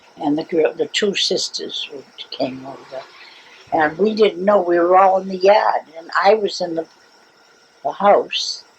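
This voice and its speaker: Over noticeable background noise, a woman of medium pitch speaks with ordinary pitch variation, big swings in loudness, and long, frequent pauses. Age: 90s. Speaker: family elder interviewee. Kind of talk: oral history interview. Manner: halting.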